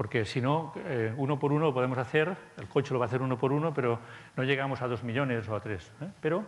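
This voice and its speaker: The man rattles along very fast, his pitch varying in an ordinary way. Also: medium pitch for a man. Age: 50s. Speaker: conference speaker. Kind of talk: conference talk. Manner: halting, many fillers.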